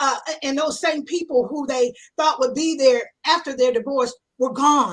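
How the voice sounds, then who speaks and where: A woman's passionate, high-pitched voice at a moderate pace with ordinary pitch variation. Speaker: marriage coach. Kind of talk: radio interview.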